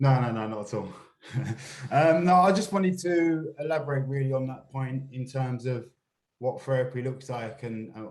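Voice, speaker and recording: Somewhat breathy tones come from a man. His pitch is medium. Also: ordinary pitch variation, moderate pace. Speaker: stop and search campaign staff. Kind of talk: panel discussion. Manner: uses slang, hard to tone down.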